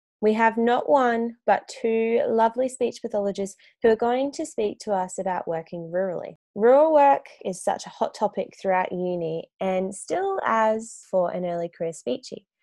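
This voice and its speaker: A woman's dark, mellow, fairly high voice in an Australian accent, with lively intonation at a moderate pace over a quiet background. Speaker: podcast host, speech pathologist. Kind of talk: scripted intro; casual interview.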